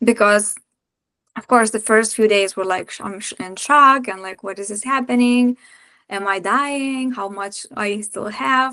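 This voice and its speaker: Against a quiet background, a woman speaks fairly slowly at a fairly high pitch, with ordinary pitch variation and big swings in loudness. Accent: Lithuanian. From Lithuania. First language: Lithuanian. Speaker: breathwork practitioner and women's circle facilitator. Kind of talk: podcast interview.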